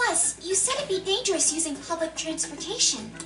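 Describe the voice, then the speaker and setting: This put-on character voice sits at an extremely high pitch and moves at a fairly quick pace. Clear background noise runs underneath it. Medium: video game.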